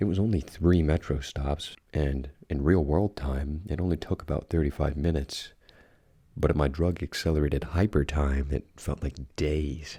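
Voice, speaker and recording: In a very clean recording with a silent background, a soft-spoken man talks with a very deep, low pitch, a dark, mellow tone, vocal fry and fairly even intonation. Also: moderate pace. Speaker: ASMR creepypasta narrator. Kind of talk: horror story reading.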